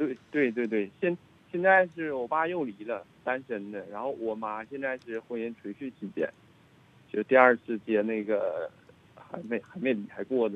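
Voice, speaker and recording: A man with a medium pitch talks at a fairly slow pace with lively intonation. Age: 30s. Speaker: caller. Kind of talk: phone-in call. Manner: bright, sunny-sounding; halting, repetitive.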